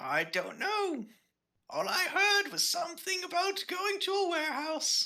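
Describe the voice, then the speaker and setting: Someone uses a squeaky, put-on character voice at a moderate pace. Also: man, extremely high pitch for a man. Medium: actual play. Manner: rambling, vague, cheerfully confused.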